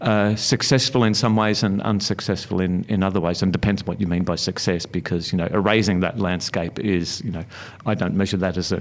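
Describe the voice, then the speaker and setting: Speaking with an Australian accent, a man with a very deep, low pitch talks at a fairly quick pace with fairly even intonation over noticeable background noise. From Melbourne, Australia (western suburbs). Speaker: author and former university lecturer. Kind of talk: interview. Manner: halting, many fillers.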